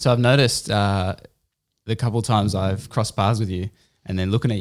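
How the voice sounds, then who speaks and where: Speaking with an Australian accent, a man uses a fairly low pitch and fairly even intonation. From Australia, Canberra. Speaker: podcast host and poet. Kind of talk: casual interview. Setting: home studio.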